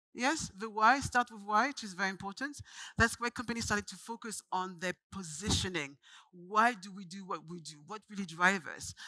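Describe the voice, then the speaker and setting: In a French accent, a woman speaks fairly quickly at medium pitch with a bright, sharp tone and big swings in loudness, in a dry, close sound with no echo. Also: ordinary pitch variation. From France, Paris. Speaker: branding agency founder, speaker. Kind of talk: conference talk. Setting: stage with audience.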